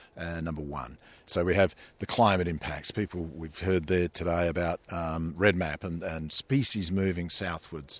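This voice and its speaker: A man speaks at a moderate pace with a very deep, low voice and an Australian accent against a quiet background. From Tasmania. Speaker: ocean sustainability initiative head. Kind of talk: interview.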